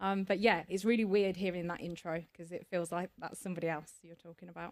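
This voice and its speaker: A woman with an English Midlands accent talks at a very fast pace and a fairly low pitch, with big swings in loudness. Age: 40s. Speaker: cancer survivor and charity trustee. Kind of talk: podcast interview. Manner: hesitant, frequent fillers and repetitions.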